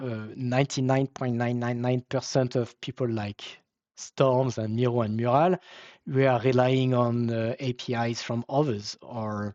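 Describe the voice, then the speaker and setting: At a fairly slow pace, a man with a French accent speaks in a medium pitch with monotone, flat intonation. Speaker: webinar presenter, software company founder. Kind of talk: Q and A answers; webinar presentation. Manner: halting, many fillers.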